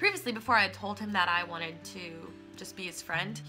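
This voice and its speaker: A woman talking at a very fast pace over clear music in the background. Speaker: vlogger. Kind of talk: casual vlog chat. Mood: animated storytelling, slightly upset. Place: home room. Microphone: phone near.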